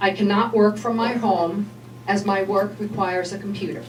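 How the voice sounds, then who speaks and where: A woman talks at a moderate pace with medium pitch and ordinary pitch movement. The room echoes audibly, and background noise is noticeable. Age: 60s. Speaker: health coach speaking at public meeting. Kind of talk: public comment at legislature meeting. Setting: public meeting. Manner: formal.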